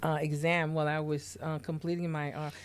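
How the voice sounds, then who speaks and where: A woman speaks in a very deep, low pitch with flat, monotone intonation at a fairly quick pace. The recording is very clean, with a silent background. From Haiti. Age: 50s. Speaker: nurse and podcast host. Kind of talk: interview. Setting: studio.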